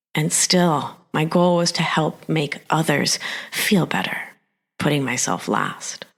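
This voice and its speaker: A very slow, very deep, low-pitched woman's voice with vocal fry and ordinary pitch variation, in an American accent, on a very clean recording with a silent background. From US Northeast, Argentine-born. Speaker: nurse practitioner and life coach. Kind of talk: personal testimony.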